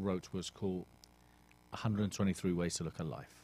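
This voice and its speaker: British accent from a male speaker. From England. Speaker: author and motivational coach. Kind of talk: radio interview. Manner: direct.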